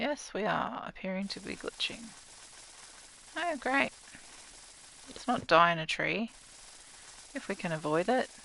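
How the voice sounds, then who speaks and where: Speaking with an Australian accent, a woman uses a fairly high pitch and very wide pitch swings. Her pace is fairly slow, with long, frequent pauses. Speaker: gaming streamer. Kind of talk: casual gameplay livestream commentary. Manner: chatty, talking to chat viewers.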